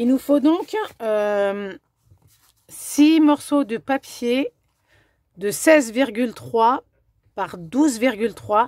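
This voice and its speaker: Dry and close with no echo, a woman's fairly high voice moves at a very slow pace with lively intonation. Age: 40s. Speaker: craft demonstrator and scrapbooking video maker. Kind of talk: tutorial; sales pitch. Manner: casual, hesitant with fillers.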